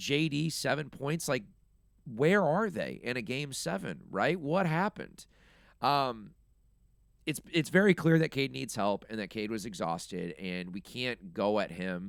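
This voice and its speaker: In a very clean recording with a silent background, a man with vocal fry talks at a fairly slow pace, his pitch swinging very widely. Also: medium pitch for a man. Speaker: sports podcast host. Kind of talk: casual sports podcast talk. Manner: casual, filler-heavy.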